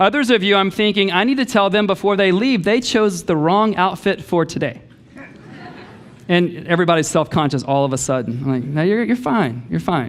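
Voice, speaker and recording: Amid noticeable background noise, a man talks at a fairly quick pace and high pitch, with very wide pitch swings but very even loudness. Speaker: pastor. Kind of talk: sermon. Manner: fast.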